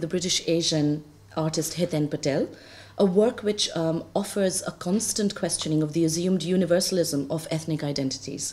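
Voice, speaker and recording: A woman speaks at a fairly quick pace. Her voice is fairly low, with a dark, mellow tone. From India. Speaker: theatre lecturer and performance maker; conference panelist. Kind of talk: academic paper reading. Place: classroom. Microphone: podium.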